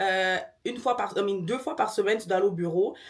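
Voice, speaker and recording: A woman talks at a fairly quick pace in an animated tone, her pitch varying in an ordinary way. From Quebec. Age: 20s. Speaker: lifestyle vlogger. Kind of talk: casual vlog talk to camera. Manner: fast.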